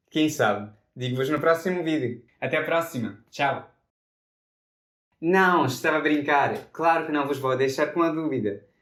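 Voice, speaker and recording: A man with an Italian accent speaks at a fairly slow pace, with long, frequent pauses. His pitch sits fairly high and varies in an ordinary way. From Italy. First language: Italian (speaking Portuguese). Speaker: polyglot YouTuber. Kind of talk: scripted multilingual vlog.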